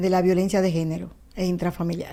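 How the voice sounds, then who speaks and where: Dark, mellow tone marks this woman's voice. Her pitch sits in the medium range. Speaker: law professor and researcher. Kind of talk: TV interview answer.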